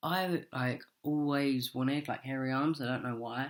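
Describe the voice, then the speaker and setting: In a very clean recording with total background silence, a man talks at a mid-range pitch. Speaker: vlogger. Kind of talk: video diary. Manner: casual, hesitant with many ums.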